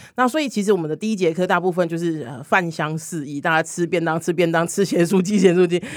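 A woman with a fairly low pitch talks at a very fast pace with hardly any pauses and ordinary pitch variation. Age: 40s. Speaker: LGBT hotline community director and body-positivity activist. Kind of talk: casual chat.

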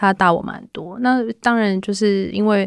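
A woman with a plain, everyday voice, fairly even intonation, and a fairly slow pace. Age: 30s. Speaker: music artist manager. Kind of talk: casual interview chat.

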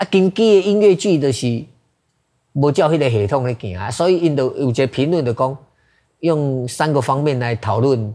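In a very clean recording with a silent background, a man with a Taiwanese accent talks at a moderate pace in a dark, mellow tone with lively intonation. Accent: Taiwanese Hokkien speaker. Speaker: theater director. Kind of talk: interview.

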